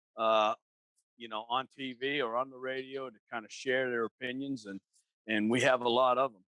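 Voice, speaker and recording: A man's bright, sharp voice at a medium pitch keeps a monotone, flat intonation and a moderate pace, with big swings in loudness and a dry, close sound with no echo. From Boston area, New England. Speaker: podcast co-host. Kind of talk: casual chat.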